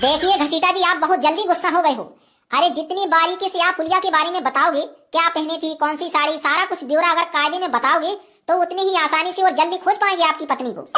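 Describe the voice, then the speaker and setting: In a put-on, squeaky character voice, a woman speaks fairly quickly at an extremely high pitch with fairly even intonation. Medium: cartoon. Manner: polite, mildly sarcastic, standard Hindi.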